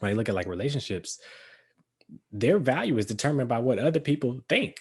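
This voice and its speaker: A man with a medium-pitched voice talks at a very fast pace, sounding somewhat breathy, with lively intonation. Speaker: podcast co-host. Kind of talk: casual chat.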